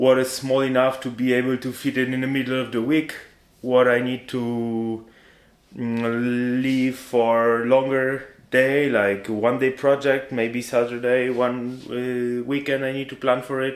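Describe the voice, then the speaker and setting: At a fairly slow pace, a man of medium pitch delivers his lines with monotone, flat intonation. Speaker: vlogger. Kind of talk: casual vlog to camera. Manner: varies pace and volume on purpose; halting.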